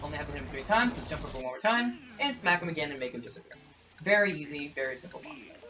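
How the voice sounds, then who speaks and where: Someone talks at a very fast pace with noticeable background noise behind them. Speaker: gaming YouTuber. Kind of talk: let's play commentary. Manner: occasional stutters and slip-ups; ad-libbed, casual.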